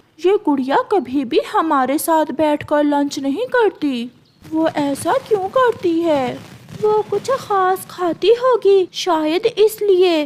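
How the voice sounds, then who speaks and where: In a put-on character voice with an extremely high pitch, the speaker delivers a sing-song line at a very slow pace. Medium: cartoon. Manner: taunting, sing-song.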